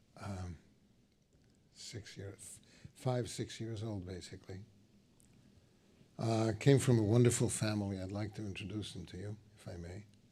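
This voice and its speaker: A man speaks at a moderate pace in a fairly low, somewhat breathy voice with a dark, mellow tone. His loudness swings widely, he leaves long, frequent pauses, and the room echo is audible. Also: fairly even intonation. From Slovakia. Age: 70s. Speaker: Holocaust survivor. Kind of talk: testimony. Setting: stage with audience.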